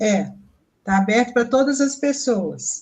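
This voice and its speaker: A somewhat breathy, fairly high female voice at a very slow pace, with fairly even intonation. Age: 70s. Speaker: peace education course participant. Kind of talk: casual chat on a live stream.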